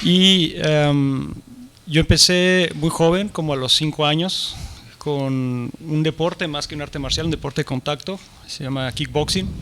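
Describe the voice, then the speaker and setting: At a fairly slow pace, a man talks with fairly high pitch and fairly even intonation. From Mexico. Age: 40s. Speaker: martial arts teacher and writer. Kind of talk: conference interview. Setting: stage with audience.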